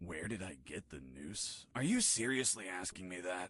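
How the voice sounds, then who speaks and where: In a put-on character voice, a man speaks very deep and low, raspy, at a moderate pace with lively intonation. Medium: video game. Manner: deadpan, sarcastic.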